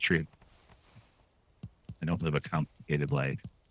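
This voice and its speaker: A man speaks at a moderate pace in a very deep, low pitch with vocal fry and ordinary pitch variation. The sound is dry and close, with no echo. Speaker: comedian and video editor. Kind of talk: casual gaming commentary. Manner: mellow, soothing.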